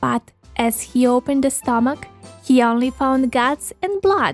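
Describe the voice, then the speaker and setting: Faint music plays in the background as a woman with an American accent speaks fairly slowly at a high pitch. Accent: Serbian speaker with American-leaning English. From Serbia. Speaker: voice-over artist. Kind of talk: children's story narration. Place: studio.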